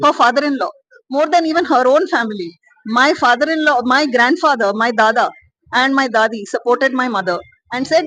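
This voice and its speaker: High-pitched female voice with ordinary pitch variation. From South India. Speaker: panel speaker. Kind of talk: panel discussion.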